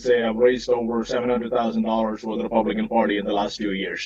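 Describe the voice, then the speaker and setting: A man at a medium pitch, very fast, with noticeable background noise. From immigrant, arrived in North Texas at 16. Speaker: political candidate. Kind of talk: candidate forum speech. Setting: video call from inside parked truck. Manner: halting, many fillers.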